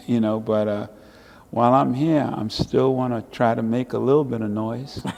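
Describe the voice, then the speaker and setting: Man at a medium pitch and moderate pace, noticeable background noise. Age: 70s. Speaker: civil rights activist and artist. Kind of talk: casual interview. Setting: art show and book signing venue.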